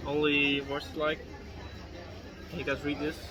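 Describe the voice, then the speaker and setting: A fairly high-pitched man with a Dutch accent at a moderate pace, with audible room echo and music in the background. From Netherlands. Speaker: beer review vlogger. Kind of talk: casual vlog with bartender chat. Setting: in a beer bar. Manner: animated.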